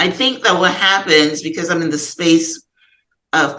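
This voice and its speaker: A woman with a Guyanese accent, very deep and low in pitch, with a bright, sharp tone. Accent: Guyanese Caribbean English. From Guyana. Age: 60s. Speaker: author and podcast guest. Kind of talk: therapy session conversation. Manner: halting.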